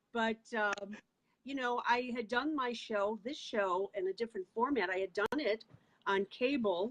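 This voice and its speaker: At a fairly slow pace, a woman speaks in an unremarkable speaking voice with a fairly high pitch and ordinary pitch variation. The sound is dry and close, with no echo. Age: 60s. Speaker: talk show host. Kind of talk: interview.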